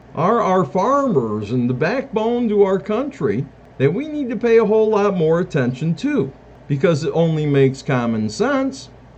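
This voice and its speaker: This man has an American accent. His pitch swings very widely. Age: 60s. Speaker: self-declared presidential candidate. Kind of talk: campaign monologue.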